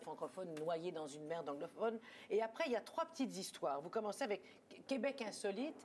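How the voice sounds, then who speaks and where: Pitch swings very widely from high to low. The pace is fairly quick. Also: woman, medium pitch for a woman. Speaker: TV talk show host. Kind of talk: TV talk show interview questions.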